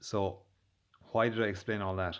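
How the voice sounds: His fairly bright tone sits at a fairly low pitch for a man, with fairly even intonation. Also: moderate pace.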